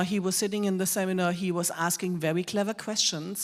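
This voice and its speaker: With a strong German accent, a woman speaks at a medium pitch and with fairly even intonation. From Germany. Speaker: whisky expert, presenter. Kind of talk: live presentation to an audience.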